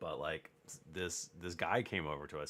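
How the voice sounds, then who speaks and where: A man's very deep, low voice with vocal fry, at a fairly slow pace. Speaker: crafting streamer. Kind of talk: casual live stream chat. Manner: soft-spoken, low talker.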